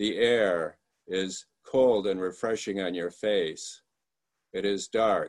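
With an American accent, a man speaks at a very slow pace. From Michigan. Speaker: lay speaker giving a sermon. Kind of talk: sermon. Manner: halting.

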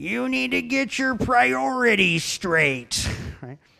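In a put-on character voice at a middle pitch, the speaker moves at a very slow pace with very wide pitch swings. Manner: lecturing, scolding.

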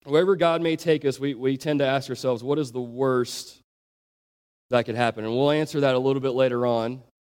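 A man at a fairly quick pace, medium in pitch, with an ordinary speaking voice and ordinary pitch variation. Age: 20s. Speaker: youth pastor. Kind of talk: sermon.

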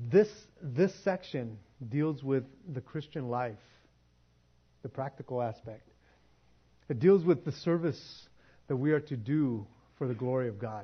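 Somewhat breathy and at a medium pitch, a man speaks at a fairly slow pace with lively intonation and long, frequent pauses. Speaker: pastor. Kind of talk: sermon. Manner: animated.

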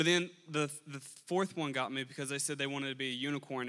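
The speaker is a man with a fairly high pitch and a bright, sharp tone. He talks fairly quickly with fairly even intonation. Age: young. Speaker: lay preacher. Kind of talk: sermon.

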